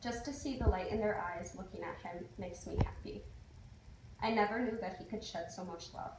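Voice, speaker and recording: Noticeable background noise under fairly quick talking. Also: woman, medium pitch for a woman. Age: young. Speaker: college student. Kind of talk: ceremonial speech.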